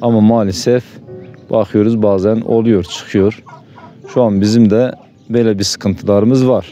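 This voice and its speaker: With music in the background, a man speaks fairly slowly at a medium pitch, leaving long, frequent pauses. His intonation is monotone and flat, and his loudness stays very even. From eastern Turkey, Bingöl. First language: Zazaki (speaking Turkish). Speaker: villager interviewee. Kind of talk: interview testimony.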